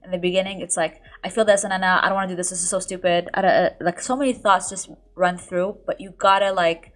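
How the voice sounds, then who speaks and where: Talking very fast with big swings in loudness, a woman keeps a medium pitch and fairly even intonation. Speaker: lifestyle YouTuber. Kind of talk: podcast interview.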